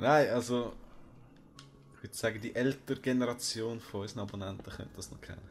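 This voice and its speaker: A man with a Swiss accent, very fast yet broken by long, frequent pauses, medium in pitch, fairly even in intonation, with big swings in loudness. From Switzerland. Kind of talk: casual let's play gaming commentary.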